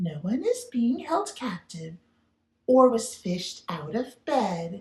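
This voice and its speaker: This female-sounding, put-on character voice sits at a fairly high pitch. It moves at a fairly slow pace with very wide pitch swings. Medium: read story. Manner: gentle, soothing.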